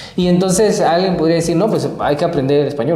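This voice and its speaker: A woman with a Guatemalan accent speaks with lively intonation and a very deep, low pitch, with audible room echo and noticeable background noise. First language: Kaqchikel (speaking Spanish). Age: young. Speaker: podcast host. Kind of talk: panel discussion. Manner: hesitant, many fillers.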